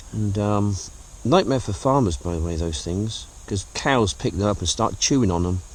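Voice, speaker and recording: Amid noticeable background noise, a man speaks in a relaxed tone at fairly low pitch and a moderate pace. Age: 50s. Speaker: vlogger. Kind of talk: casual vlog narration. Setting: outdoors in woods. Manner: relaxed, hesitant with fillers.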